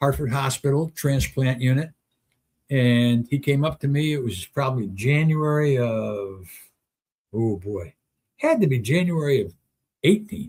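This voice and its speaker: A somewhat breathy voice with lively intonation. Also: man. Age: 70s. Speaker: talk show host. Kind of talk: casual monologue on live stream. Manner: halting, thinking aloud.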